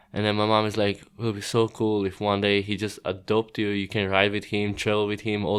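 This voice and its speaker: Talking at a fairly quick pace, a man speaks with a Croatian accent. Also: quiet background. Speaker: professional BMX rider. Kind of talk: podcast interview.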